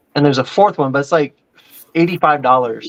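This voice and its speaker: Speaking with an American accent, a man's voice sits at a fairly high pitch. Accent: southern accent, comes through at times. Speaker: podcast co-host. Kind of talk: casual chat.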